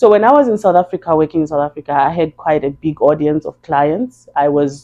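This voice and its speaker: A woman with a Zimbabwean accent speaks in a very deep, low pitch with fairly even intonation. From Zimbabwe (Gweru). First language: Shona. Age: 30s. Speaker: beautician. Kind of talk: podcast interview.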